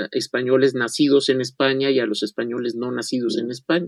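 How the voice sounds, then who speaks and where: A man uses an ordinary speaking voice at a medium pitch and a fairly quick pace. The sound is dry and close, with no echo. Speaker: historian. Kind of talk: radio interview, history lecture.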